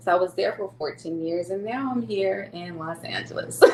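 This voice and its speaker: Over noticeable background noise, a woman with an American accent speaks at a medium pitch and a moderate pace. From US South (Louisiana), later Sacramento. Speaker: non-profit executive director and caregiver. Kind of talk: podcast interview.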